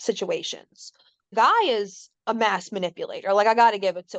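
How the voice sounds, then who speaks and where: Her pace is moderate. She is a woman with an American accent. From New Orleans, Louisiana. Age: 30s. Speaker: stay-at-home mom, trauma survivor. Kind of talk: podcast interview answer. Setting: studio. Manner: casual, candid.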